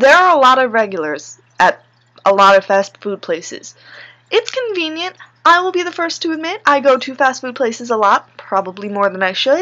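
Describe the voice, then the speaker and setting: Raised and projected, a woman's high voice has a bright, sharp tone and very wide pitch swings. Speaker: vlogger and fast food worker. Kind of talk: casual vlog rant. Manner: fast.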